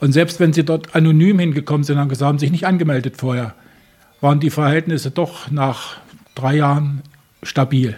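With long, frequent pauses, a man speaks in a fairly high, somewhat breathy voice with fairly even intonation. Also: moderate pace. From Germany. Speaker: animal welfare volunteer. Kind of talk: interview. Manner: halting, repeats words.

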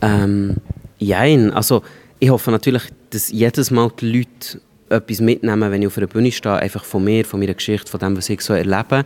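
Recorded with a dry, close sound and no echo, a man with a Swiss accent talks at a fairly quick pace in a fairly low voice with fairly even intonation. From rural Switzerland. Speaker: stand-up comedian. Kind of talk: interview.

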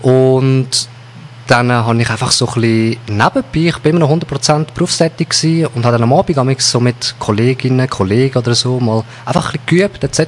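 A man with a Swiss accent at a medium pitch, fairly quick pace, ordinary pitch variation and very even loudness, over noticeable background noise. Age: 30s. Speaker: hypnotherapist. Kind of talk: interview.

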